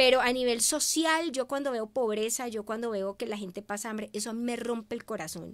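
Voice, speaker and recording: Hardly pausing, a woman with a fairly high pitch talks at a fairly quick pace. Her pitch variation is ordinary. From Venezuela. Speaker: media communicator; guest. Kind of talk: interview. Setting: live stream. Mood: warm, emotional storytelling. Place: studio. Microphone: studio mic.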